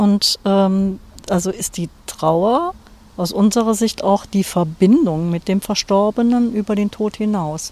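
A woman speaks at a medium pitch with a dark, mellow tone. Her pace is very slow, with ordinary pitch variation. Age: 60s. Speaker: hospice grief counselor. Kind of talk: interview. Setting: outdoors on a cemetery bench.

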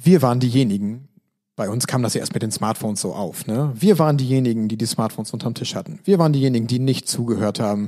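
A man's very fast speech at a medium pitch, dark and mellow in tone. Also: ordinary pitch variation. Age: 30s. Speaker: educational trainer and podcast host. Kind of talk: podcast monologue. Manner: plain conversational.

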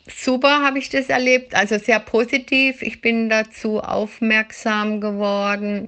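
At a very slow pace, this speech keeps its intonation fairly even. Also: woman. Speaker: dog training student. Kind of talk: recorded voice message.

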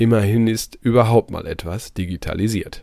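A man's fairly low-pitched voice has a dark, mellow tone in a very clean recording with a silent background. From East Westphalia, Germany. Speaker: podcast host. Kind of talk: news commentary; interview.

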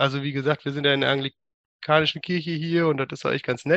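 Delivery is fairly quick. The intonation is fairly even. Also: man. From Germany, Münsterland (Westphalia). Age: 30s. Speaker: church member. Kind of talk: interview. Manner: halting, many fillers.

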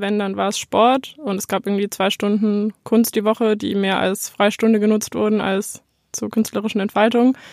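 A woman speaks at a fairly high pitch. The recording is very clean and dry, with a silent background and a close sound with no echo. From Bavaria, Neu-Ulm. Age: 20s. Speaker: self-employed photographer. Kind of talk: interview.

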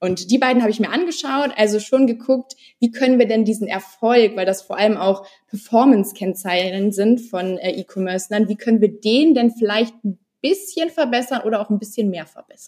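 A woman speaks at a moderate pace with a dark, mellow tone. Her pitch is fairly high, with ordinary variation. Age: 20s. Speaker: former working student, e-commerce researcher. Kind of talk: podcast interview.

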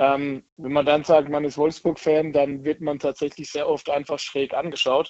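A man is speaking. His pace is moderate. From southern Germany, near Heidelberg. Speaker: football fan. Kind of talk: interview.

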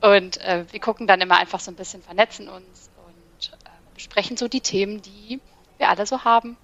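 A woman talks in an unremarkable speaking voice at medium pitch and a moderate pace. Her intonation is fairly even, with big swings in loudness. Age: 30s. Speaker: ADHD content creator. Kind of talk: casual chat.

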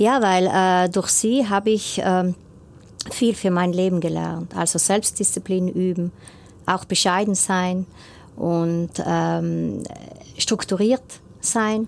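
A woman speaks at a very slow pace, with long, frequent pauses. Her pitch is medium, her intonation fairly even and her loudness very even. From South Tyrol, Rodeneck. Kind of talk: radio interview. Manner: hesitant, many fillers.

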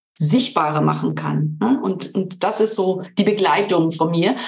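A woman's voice swings very widely in pitch. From Switzerland. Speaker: coach and trainer. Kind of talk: interview.

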